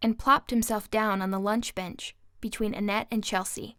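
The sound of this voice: Intonation is fairly even. It is an unforced reading voice.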